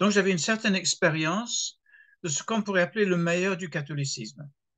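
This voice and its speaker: A man's high-pitched voice at a fairly quick pace. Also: ordinary pitch variation. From England. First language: English (speaking French). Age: 70s. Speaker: retired pastor. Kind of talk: interview. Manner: hesitant, with fillers and repetitions.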